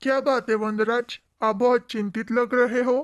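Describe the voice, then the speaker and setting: A cartoonish character voice, female-sounding and high-pitched for a woman, at a moderate pace in a very clean recording with a silent background. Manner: flattering, scheming.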